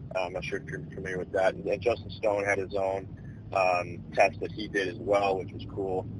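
A man's very deep, low voice in monotone, flat intonation, with big swings in loudness at a moderate pace. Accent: American. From Chicago area, Illinois. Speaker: minor league baseball player. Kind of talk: casual interview.

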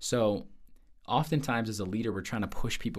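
This is a normal speaking voice. It carries an American accent. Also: man. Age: 20s. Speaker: sales manager. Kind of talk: casual interview.

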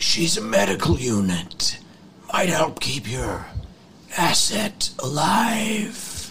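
A put-on character voice speaks at a middle pitch. It is raspy and very slow. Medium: actual play. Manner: probing, commanding.

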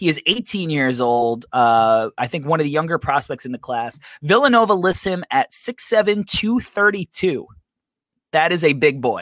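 A man with a fairly high pitch speaks at a moderate pace with very wide pitch swings, recorded dry and close with no echo on a very clean track with a silent background. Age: 30s. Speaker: basketball draft podcast host. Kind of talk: casual chat.

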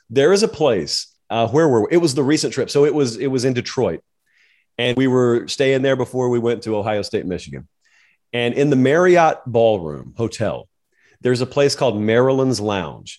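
A man with a Southern US accent, medium pitch, ordinary pitch variation and a moderate pace, on a very clean recording with a silent background. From US South. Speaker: college football media personality. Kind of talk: interview.

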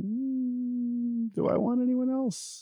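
The voice is a man's. Its sound is dry and close, with no echo at all. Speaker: baseball podcast host. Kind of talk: casual banter. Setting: hotel room, remote recording.

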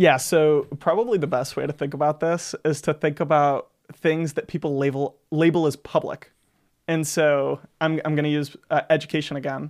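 In a very clean recording with a silent background and a dry, close sound with no echo, a man talks at a moderate pace with fairly even intonation in an ordinary speaking voice. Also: fairly high pitch for a man. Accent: American. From US South, Florida Panhandle (Gulf Breeze). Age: 20s. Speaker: student government leader. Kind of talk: casual interview chat.

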